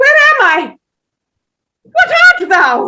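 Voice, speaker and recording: Doing a put-on character voice, a woman squeaks at an extremely high pitch. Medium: stage play. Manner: imperious, commanding.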